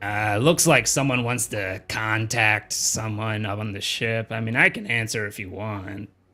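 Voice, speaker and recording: A man does a put-on character voice that is raspy and gravelly, at a medium pitch. He keeps a moderate pace with hardly any pauses and fairly even intonation. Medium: actual play.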